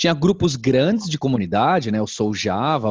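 This man speaks at a moderate pace with a fairly high pitch. He has a plain, everyday voice. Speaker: edtech company founder. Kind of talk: interview conversation.

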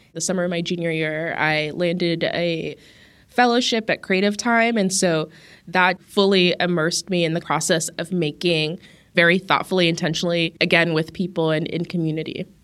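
Here is a woman with an American accent and a fairly low pitch, an ordinary speaking voice. Her intonation is fairly even, her pace moderate, and the recording very clean with a silent background. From US West, Las Vegas. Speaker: artist and arts director. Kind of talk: interview.

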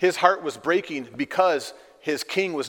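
Pitch moves in an ordinary way across a natural reading voice.

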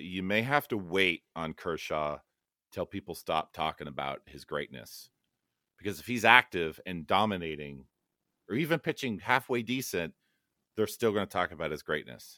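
A man with a Californian accent, a very deep, low pitch and a bright, sharp tone, lively intonation at a moderate pace, on a very clean recording with a silent background and a dry, close sound with no echo. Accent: Californian American English. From Los Angeles, US West Coast. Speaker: app developer and card collector. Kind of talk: casual chat.

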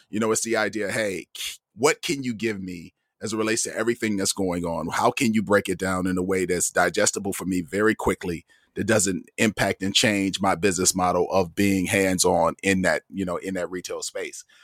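A man with an American accent talks at a fairly quick pace in a fairly low voice, his intonation fairly even, an unremarkable speaking voice. The sound is dry and close with no echo, on a very clean recording with a silent background. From US Midwest, Toledo, Ohio. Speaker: automotive journalist and podcast host. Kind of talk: casual interview conversation. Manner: frequent repetitions and fillers.

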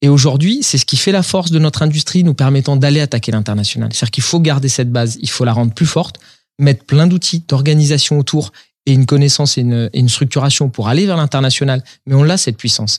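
Somewhat breathy and fairly high in pitch, a man speaks at a very fast pace with ordinary pitch variation on a very clean recording with a silent background. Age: 40s. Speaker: industrial company CEO. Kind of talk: interview. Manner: halting, repeats words.

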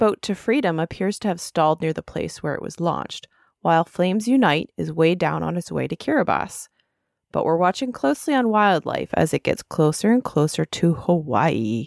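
A woman speaks at a moderate pace with vocal fry, a fairly low pitch and very wide pitch swings. The recording is very clean with a silent background and a dry, close sound with no echo. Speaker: podcast host. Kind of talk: scripted news-style report reading. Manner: brisk, even, newsreader-like delivery.

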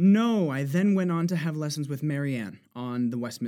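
A man with a New Jersey accent, dark and mellow in tone, with lively intonation. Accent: New Jersey American, aspirated. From New Jersey, US. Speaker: singer and voice actor. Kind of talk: interview conversation.

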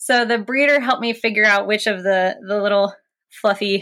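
In a very clean recording with a silent background, a woman with an American accent speaks at a medium pitch in a bright, sharp tone. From West Virginia, US. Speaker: paleontologist and PhD candidate. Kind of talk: interview.

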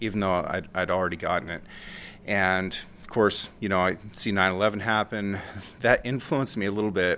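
With an American accent, a man speaks at a fairly quick pace in a fairly low voice. His tone is bright and sharp, his intonation fairly even. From rural Oregon. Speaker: war veteran. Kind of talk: casual chat.

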